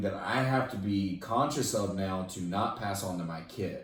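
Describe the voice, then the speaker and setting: A man's fairly low voice with ordinary pitch variation, plus audible room echo and noticeable background noise. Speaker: fitness podcast host. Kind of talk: casual chat. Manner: loud.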